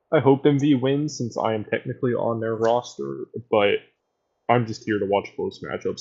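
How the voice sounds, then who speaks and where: This man has a medium-pitched voice. He talks at a moderate pace with fairly even intonation. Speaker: streamer and esports caster. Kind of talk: casual stream chat. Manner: monotone; low energy.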